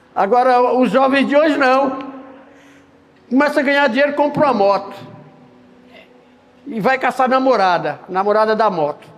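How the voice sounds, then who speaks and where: A man's extremely high voice at a moderate pace, with long, frequent pauses, ordinary pitch variation, noticeable background noise and audible room echo. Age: 60s. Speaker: preacher. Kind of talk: sermon.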